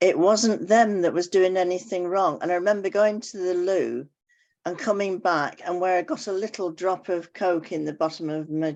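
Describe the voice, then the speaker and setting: Here a woman speaks with fairly even intonation. Her pitch is medium and her pace moderate. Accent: English. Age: 80s+. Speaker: club member. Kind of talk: casual chat.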